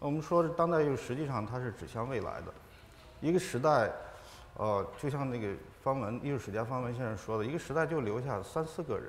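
A man talks at a fairly quick pace over light background noise. His pitch is medium, with ordinary variation. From China, Ningxia. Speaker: artist and scholar; panelist. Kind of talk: panel discussion. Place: hall.

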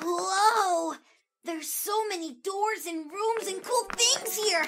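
A cartoonish character voice at a fairly slow pace. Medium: puppet show. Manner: whimsical, excitable.

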